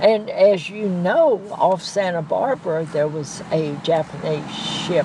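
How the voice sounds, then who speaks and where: Against noticeable background noise and audible room echo, a woman with an American accent speaks at a fairly slow pace and fairly low pitch, with ordinary pitch variation. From US South. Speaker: war veteran. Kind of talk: oral history interview.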